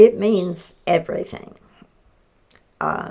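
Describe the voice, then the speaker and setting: With an Appalachian accent and vocal fry, a woman talks at a fairly slow pace. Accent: Appalachian Southern US. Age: 80s+. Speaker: farm family elder. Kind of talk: interview.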